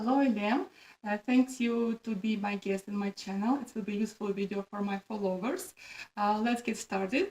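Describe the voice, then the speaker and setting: Her voice fairly high in pitch, a woman with a Russian accent keeps a fairly even intonation. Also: moderate pace. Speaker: pharmacist and video host. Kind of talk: interview. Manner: halting, many fillers.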